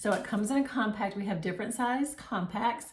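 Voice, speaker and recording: A woman speaks at a medium pitch. Room echo is audible, and there is noticeable background noise. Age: 60s. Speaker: makeup seller and tutorial host. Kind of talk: tutorial. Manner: casual, conversational with fillers.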